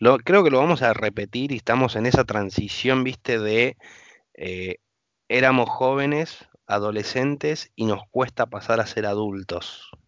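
A man's medium-pitched, normal speaking voice at a fairly slow pace, with ordinary pitch variation. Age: 30s. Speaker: podcast host. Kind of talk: casual chat.

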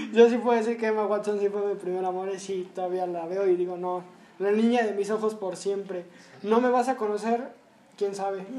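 This man has a high voice and fairly even intonation. He speaks at a fairly quick pace. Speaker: podcast host. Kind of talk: casual chat.

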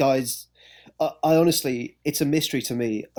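A man with an English accent speaks with fairly even intonation. The recording is very clean, with a silent background. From England. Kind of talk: casual chat. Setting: podcast.

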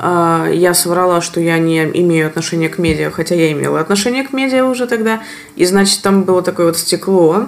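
The speech comes at a fairly quick pace with ordinary pitch variation. Noticeable background noise sits behind it. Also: woman. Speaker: podcast host. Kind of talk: casual interview conversation.

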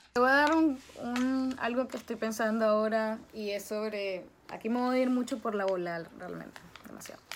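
At a moderate pace, a woman with an unremarkable speaking voice and fairly high pitch talks with ordinary pitch variation and big swings in loudness. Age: 20s. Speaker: social media influencer. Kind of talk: casual interview.

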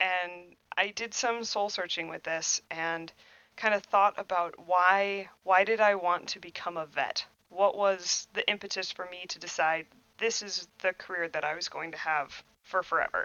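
A woman speaks at a fairly slow pace with fairly even intonation and a medium pitch. It is a normal speaking voice. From Wisconsin, New Glarus. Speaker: welding and metal fabrication instructor. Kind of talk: casual interview.

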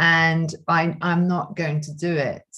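Somewhat breathy and fairly low for a woman, her voice moves at a very slow pace. Her intonation is fairly even. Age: 60s. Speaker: yoga teacher. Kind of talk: casual interview.

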